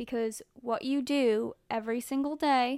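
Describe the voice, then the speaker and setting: On a very clean recording with a silent background, a woman speaks in a monotone, flat intonation. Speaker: fitness podcast host. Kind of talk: solo podcast monologue.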